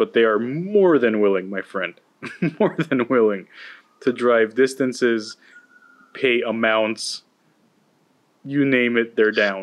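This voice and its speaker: Speaking at a very slow pace, a man leaves long, frequent pauses. His pitch is medium, with ordinary variation. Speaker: podcast host. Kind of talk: casual chat.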